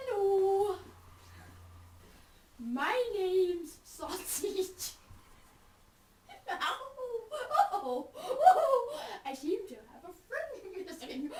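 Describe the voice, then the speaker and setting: This put-on character voice is squeaky and extremely high, with very wide pitch swings, a very slow pace and long, frequent pauses. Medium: puppet show. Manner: squealing, overexcited.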